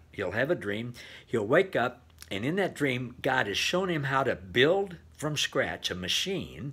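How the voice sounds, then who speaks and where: Here a man speaks at a moderate pace in a bright, sharp tone. His pitch swings very widely. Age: 70s. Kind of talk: devotional talk. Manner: casual with frequent fillers. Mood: warm, enthusiastic, encouraging. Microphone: webcam.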